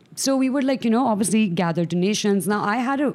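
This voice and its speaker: A woman's fairly high voice with ordinary pitch variation at a very fast pace. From Pakistan, Karachi. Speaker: medical student and charity founder. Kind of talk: casual interview chat.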